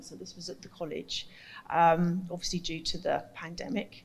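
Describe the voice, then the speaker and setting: Soft-spoken and somewhat breathy, a woman talks at a fairly slow pace with ordinary pitch variation. Audible room echo surrounds her voice. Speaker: carnival arts workshop facilitator. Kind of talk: conference presentation.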